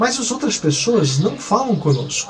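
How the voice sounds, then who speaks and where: With lively intonation, a man speaks at a moderate pace. Room echo is audible and background noise is noticeable. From Brazil. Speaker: missionary pastor. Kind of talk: testimony. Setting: apartment balcony. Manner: halting with many fillers.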